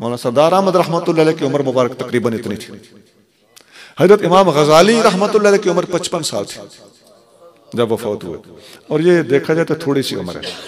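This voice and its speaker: A man with a fairly high pitch speaks at a moderate pace. His intonation is lively, broken by long, frequent pauses. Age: 60s. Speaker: Islamic scholar. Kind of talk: religious speech. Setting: stage in a mosque with audience.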